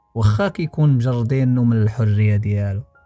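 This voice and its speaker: A medium-pitched man's voice at a moderate pace, with music in the background. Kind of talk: storytelling narration.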